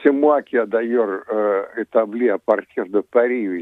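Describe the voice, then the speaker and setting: A man with a Russian accent speaks at a very slow pace. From Soviet Union, Ukrainian origin. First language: Russian (speaking French). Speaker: former diplomat and author. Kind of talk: radio interview. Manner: hesitant, many fillers.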